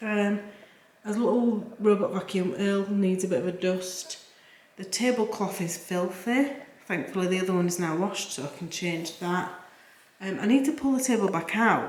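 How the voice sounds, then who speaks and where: A woman with a Yorkshire accent at medium pitch and a moderate pace, with audible room echo and noticeable background noise. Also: ordinary pitch variation. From Yorkshire, northern England. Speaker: cleaning vlogger. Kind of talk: casual voiceover narration of cleaning vlog. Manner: casual, chatty with fillers.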